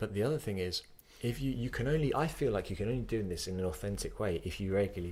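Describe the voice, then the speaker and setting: At a very fast pace, a man talks with lively intonation and a fairly low pitch. His voice is somewhat breathy. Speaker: podcast host, yoga teacher. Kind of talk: podcast conversation.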